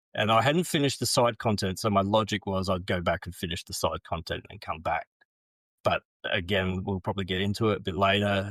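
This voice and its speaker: A man speaks at a fairly low pitch with fairly even intonation. The recording is very clean with a silent background and a dry, close sound with no echo. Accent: Australian. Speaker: podcast guest. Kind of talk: casual chat.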